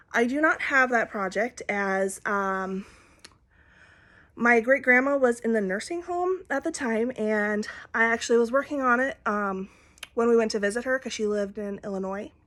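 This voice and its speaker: A woman's fairly high, bright, sharp voice at a moderate pace, with an Upper Midwest accent, on a very clean recording with a silent background. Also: ordinary pitch variation. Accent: Upper Midwest American. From Minnesota. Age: 20s. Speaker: cross-stitch vlogger. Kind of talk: casual chat. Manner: halting.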